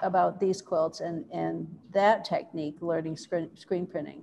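Here a woman talks. The tone of her voice is dark and mellow. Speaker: museum curator; museum curator hosting a talk. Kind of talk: conversational interview. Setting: video call from a gallery. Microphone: video call.

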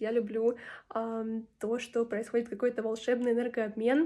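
A woman speaks at a moderate pace in a dark, mellow tone. Her pitch is fairly high, and her intonation is monotone and flat. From Ukraine. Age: 20s. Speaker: English teacher. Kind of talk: testimonial. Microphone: phone near.

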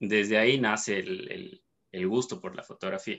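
Speech moves at a fairly slow pace. Its intonation is fairly even. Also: man. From Ecuador, Cuenca. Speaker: dentist and photographer. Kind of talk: interview. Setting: video call. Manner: halting, many fillers and repetitions. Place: home room. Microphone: video call.

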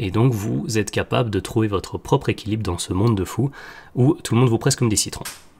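A man speaks with lively intonation in a somewhat breathy voice. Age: 30s. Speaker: health podcaster. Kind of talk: solo podcast monologue. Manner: hesitant, many fillers.

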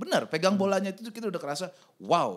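A man rattles off his words extremely quickly against a quiet backdrop. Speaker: podcast host. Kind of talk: casual chat; podcast conversation. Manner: playful. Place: studio. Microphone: studio mic.

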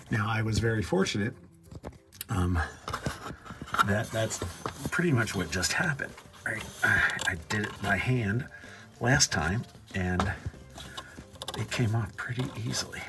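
Speech moves at a moderate pace with long, frequent pauses. Music is clearly audible behind it. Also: man. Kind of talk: tutorial. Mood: wry, self-mocking. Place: garage. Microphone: phone near.

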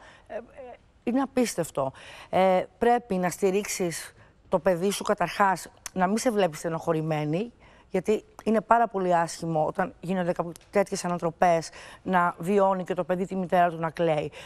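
A moderate pace broken by long, frequent pauses. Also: woman, ordinary pitch variation. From Greece. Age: 50s. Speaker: TV guest discussing her divorce; TV guest. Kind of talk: talk show interview. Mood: reflective, personal, calm. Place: studio. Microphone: lapel.

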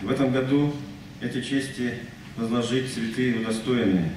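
Amid audible room echo and light background noise, a man speaks at a fairly slow pace. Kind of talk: announcement at ceremony. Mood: formal, solemn. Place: hall.

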